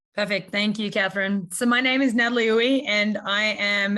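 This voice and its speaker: A woman speaks with an Australian accent. Her pitch is medium and her intonation fairly even. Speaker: university faculty. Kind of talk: self-introduction on panel. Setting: video call.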